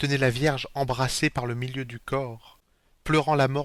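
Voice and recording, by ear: The intonation stays fairly even while the text is read aloud in a natural voice.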